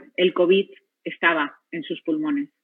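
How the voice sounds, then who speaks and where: Fairly slow delivery from a woman with a medium-pitched voice. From Spain. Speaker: physician, radiotherapy head. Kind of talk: personal testimony talk.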